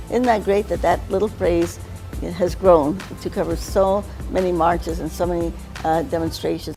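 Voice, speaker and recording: Background music accompanies this clip. The woman speaks at a moderate pace. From Mexican-American. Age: 80s+. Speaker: civil rights activist. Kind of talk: interview answer.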